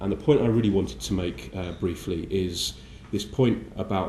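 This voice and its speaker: A man with a very deep, low pitch and a dark, mellow tone speaks at a fairly quick pace with vocal fry, in a room with audible echo. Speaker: politician. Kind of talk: conference speech. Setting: breakfast briefing event. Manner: halting with many fillers.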